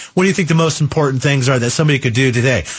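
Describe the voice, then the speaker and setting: This man's voice is somewhat breathy. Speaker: radio car show host. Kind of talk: call-in radio show. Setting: radio studio.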